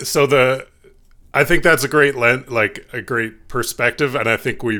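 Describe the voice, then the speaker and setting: A man at medium pitch with a bright, sharp tone and ordinary pitch variation, in a very clean recording with a silent background. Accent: Canadian. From Canada. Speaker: podcast co-host. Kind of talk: casual chat.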